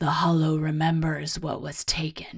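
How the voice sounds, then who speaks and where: A resonant, put-on character voice at a moderate pace and a middle pitch. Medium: read story. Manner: gentle, solemn.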